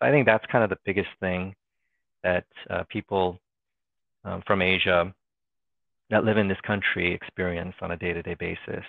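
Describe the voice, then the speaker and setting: In an American accent, a man talks with a very deep, low pitch and fairly even intonation. His pace is moderate, broken by long, frequent pauses. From Northern Virginia, US East Coast. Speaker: trade compliance manager, employee group chair. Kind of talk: casual interview. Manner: hesitant, many fillers and repetitions.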